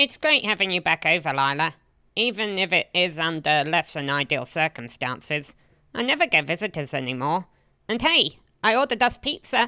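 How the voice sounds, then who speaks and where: In a put-on character voice, a female-sounding speaker talks at a moderate pace and a middle pitch. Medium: machinima.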